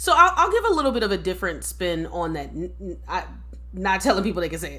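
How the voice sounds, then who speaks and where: In an American accent, a woman talks at a very fast pace with big swings in loudness, and the room gives audible echo. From United States. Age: young. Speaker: social worker and diversity educator, podcast co-host. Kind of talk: casual discussion.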